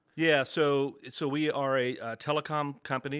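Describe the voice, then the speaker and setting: In a Texas accent, a man speaks at a moderate pace and medium pitch on a very clean recording with a silent background. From Texas, Dallas. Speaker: business owner. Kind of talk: interview. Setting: office studio.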